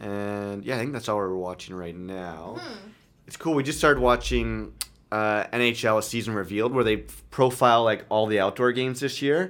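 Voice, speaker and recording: A man's fairly low voice in a Canadian accent, moderate in pace, with ordinary pitch variation and big swings in loudness. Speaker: podcast host. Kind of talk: casual chat. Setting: home studio with friends.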